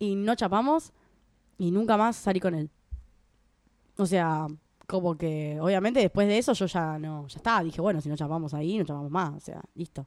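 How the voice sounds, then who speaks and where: Recorded very cleanly with a silent background, a woman with a Rioplatense accent and a fairly low pitch speaks with big swings in loudness and long, frequent pauses. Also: ordinary pitch variation, moderate pace. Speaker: podcast co-host. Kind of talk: casual chat.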